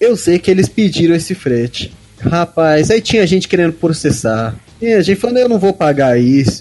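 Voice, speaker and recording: A man speaks at a high pitch with very wide pitch swings and very even loudness, at a moderate pace. Noticeable background noise is present. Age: 20s. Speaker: fantasy author. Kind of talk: casual chat.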